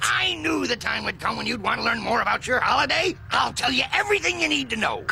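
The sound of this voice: Over clear background noise, a man rattles off lines at a very fast pace in a cartoonish character voice.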